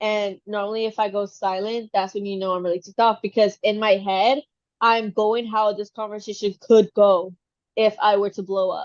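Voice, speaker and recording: A medium-pitched woman's voice with monotone, flat intonation. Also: moderate pace. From Texas. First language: Spanish. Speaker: podcast co-host, trainee English teacher. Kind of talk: casual chat.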